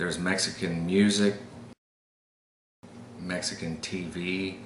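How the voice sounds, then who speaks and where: In an American accent, the speaker goes at a fairly slow pace with a monotone, flat intonation. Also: man, very deep, low pitch for a man. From El Paso, Texas. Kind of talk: casual talk to camera, accent tag.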